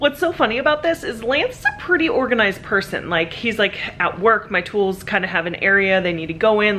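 Over light background noise, a woman talks at a fairly quick pace with very wide pitch swings. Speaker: family vlogger. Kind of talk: casual vlog chat. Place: garage. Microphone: phone near.

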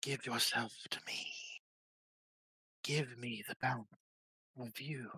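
Whispering in a raspy, put-on character voice, a man goes fairly slowly, with long, frequent pauses. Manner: creepy, coaxing whisper.

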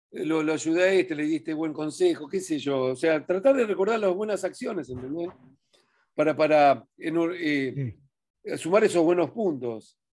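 A man speaks with lively intonation at a moderate pace against a quiet background. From Argentina. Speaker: religious teacher. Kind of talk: Torah study talk. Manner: halting. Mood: calm, warm, encouraging. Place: home room. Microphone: webcam.

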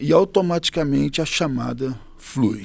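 Heard in a dry sound with no echo, a man with a medium-pitched voice shows vocal fry and lively intonation. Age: 40s. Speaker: pastor. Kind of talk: interview. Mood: calm, earnest, smiling. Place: studio. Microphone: studio mic.

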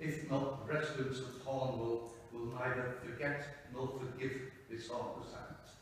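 In a room with strong echo, a man talks at a fairly slow pace and medium pitch, with little pitch movement.

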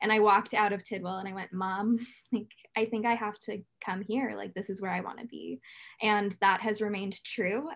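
A woman with an American accent talks at a fairly quick pace with vocal fry, a fairly high pitch and monotone, flat intonation against a quiet background. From California. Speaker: university student. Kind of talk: student testimony. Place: home room. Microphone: webcam.

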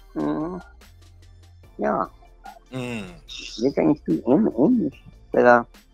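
Faint music plays in the background of a dry, echo-free recording as a man speaks at a fairly slow pace. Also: long, frequent pauses. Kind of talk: casual storytelling on phone. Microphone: phone line.

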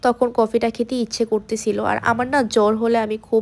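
This woman has a fairly high pitch and a dark, mellow tone. She talks with monotone, flat intonation. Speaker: vlogger. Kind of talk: vlog narration.

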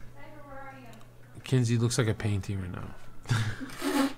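Noticeable background noise beneath very slowly paced speech. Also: man. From Albania. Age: 20s. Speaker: livestreamer. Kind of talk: casual chat. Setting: livestream with chat. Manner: animated. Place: home room. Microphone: studio mic.

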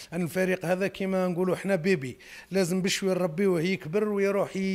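A man with an Algerian accent at a fairly quick pace. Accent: Algerian Arabic with French code-switching. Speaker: football club president. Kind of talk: press statement. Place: hall. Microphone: handheld.

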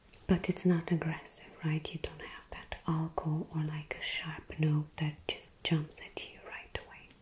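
A woman whispers at a fairly slow pace. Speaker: perfume reviewer. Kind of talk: casual review talk.

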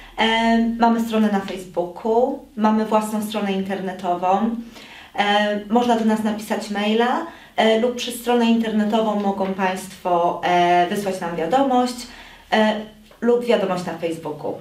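A woman speaks at a fairly slow pace in a fairly high pitch with ordinary pitch variation. Noticeable background noise and audible room echo fill the recording. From Poland. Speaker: police officer. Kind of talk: public information appeal. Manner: hesitant, many fillers.

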